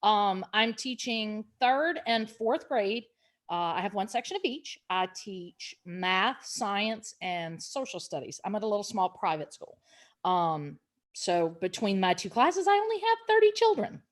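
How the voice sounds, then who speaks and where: On a very clean recording with a silent background, a woman with a Louisiana accent speaks at a fairly slow pace, her fairly high voice carrying lively intonation. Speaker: elementary school teacher. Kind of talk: casual chat.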